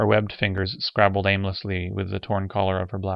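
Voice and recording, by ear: A text is read aloud here in a natural voice.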